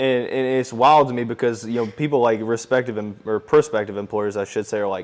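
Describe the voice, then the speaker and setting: A man with an unremarkable speaking voice talks at a medium pitch and a fairly quick pace. His intonation is fairly even, and there are hardly any pauses. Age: 20s. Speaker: sports announcer and podcaster. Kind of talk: casual interview chat. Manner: casual, many fillers.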